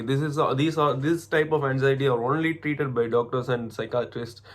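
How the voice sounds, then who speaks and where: Speaking with an Indian accent, a man keeps a medium pitch and a fairly quick pace. His intonation is fairly even. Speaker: MBA student. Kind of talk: casual talk to camera. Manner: hesitant, halting.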